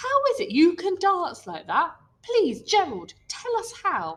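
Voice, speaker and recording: Someone uses a put-on character voice. The pace is fairly slow. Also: woman, extremely high pitch for a woman. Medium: read story.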